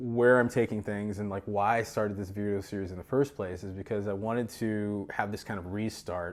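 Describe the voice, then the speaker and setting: A man with a fairly low-pitched voice speaks at a fairly quick pace with hardly any pauses. His intonation is fairly even, on a very clean recording with a silent background. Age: 50s. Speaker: wellness coach. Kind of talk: casual monologue. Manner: halting.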